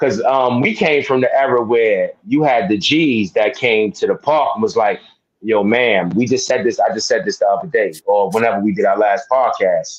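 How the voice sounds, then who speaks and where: With a New York accent, a man talks at a very even loudness. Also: moderate pace. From New York, Harlem. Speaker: sports podcast co-host. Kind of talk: casual chat.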